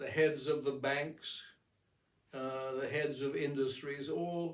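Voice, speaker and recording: A man speaks at a fairly high pitch with monotone, flat intonation. There is audible room echo. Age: 80s+. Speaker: amateur painter and philosopher. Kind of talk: casual monologue. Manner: halting.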